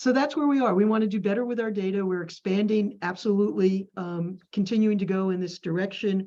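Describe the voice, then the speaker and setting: The voice has a dark, mellow tone and ordinary pitch variation. It moves at a fairly quick pace with hardly any pauses. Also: woman, medium pitch for a woman. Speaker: community village staff member. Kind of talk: group meeting discussion. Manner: fast.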